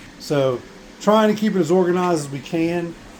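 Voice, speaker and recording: Over noticeable background noise, a man with a Southern US accent talks at a fairly quick pace. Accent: rural Southern. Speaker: small business owner, 3D print farm. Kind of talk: video tour. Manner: casual, halting with fillers.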